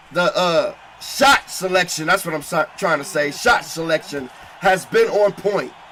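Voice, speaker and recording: A man speaks at a fairly slow pace in a high voice with ordinary pitch variation. His tone is animated, with noticeable background noise. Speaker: boxing commentator. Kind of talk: live commentary.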